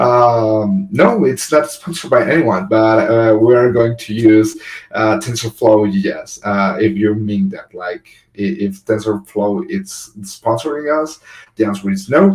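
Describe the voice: The pace is fairly slow, the tone slightly mellow, and the pitch varies in an ordinary way. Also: man, fairly low pitch for a man.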